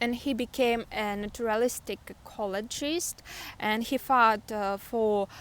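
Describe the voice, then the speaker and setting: On a very clean recording with a silent background, a woman with a Russian accent speaks at a high pitch with fairly even intonation. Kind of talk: book review talk to camera. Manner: hesitant, many filler sounds.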